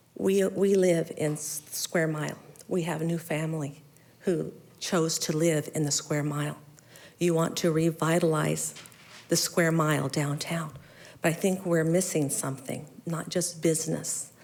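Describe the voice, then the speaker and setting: A woman's very deep, low voice in an American accent, monotone and flat at a fairly slow pace, with audible room echo. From Mesa, Arizona. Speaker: resident speaking at public comment. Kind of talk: public comment at council meeting. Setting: city council chamber. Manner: halting.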